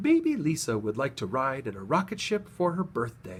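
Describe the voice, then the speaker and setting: At a moderate pace, a man uses a put-on character voice at a medium pitch with very wide pitch swings. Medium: read story.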